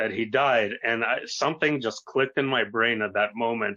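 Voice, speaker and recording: A man's medium-pitched voice keeps fairly even intonation at a moderate pace. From US, New York City and Arizona. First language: Russian. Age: 30s. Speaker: youtuber, paranormal experiencer. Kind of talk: interview.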